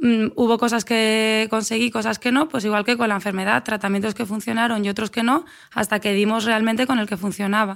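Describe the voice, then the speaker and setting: A woman talks at a fairly quick pace in an ordinary speaking voice, fairly high in pitch, with fairly even intonation, very even loudness and hardly any pauses. The recording is very clean, with a silent background. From Spain, Asturias (Avilés). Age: 30s. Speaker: athlete and running coach. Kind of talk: interview conversation.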